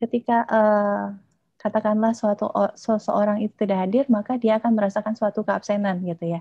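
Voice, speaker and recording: A woman talks at a fairly quick pace in a somewhat breathy voice. Her intonation is monotone and flat, and the sound is dry with no echo. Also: quiet background. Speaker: doctoral candidate and design lecturer; candidate, design lecturer. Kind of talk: dissertation defense presentation; answering examiners' questions. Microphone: video call.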